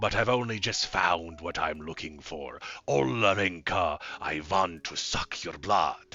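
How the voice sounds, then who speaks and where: Growling in a put-on character voice, a man speaks with a very deep, low pitch, a menacing tone and a fairly slow pace. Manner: growling, menacing.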